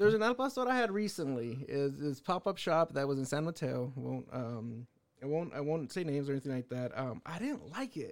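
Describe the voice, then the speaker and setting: With an ordinary speaking voice, a man talks at a fairly quick pace and fairly high pitch, with hardly any pauses. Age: 30s. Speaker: podcast host. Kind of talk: casual chat.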